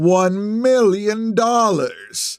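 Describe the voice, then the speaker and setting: A man's high-pitched put-on character voice with fairly even intonation. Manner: dramatic, theatrical, menacing.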